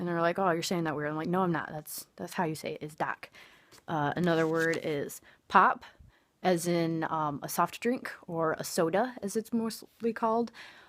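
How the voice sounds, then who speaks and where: A woman's fairly low voice in an American accent, at a moderate pace with ordinary pitch variation, on a very clean recording with a silent background. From Michigan. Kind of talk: accent demonstration talk to camera. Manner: casual, chatty.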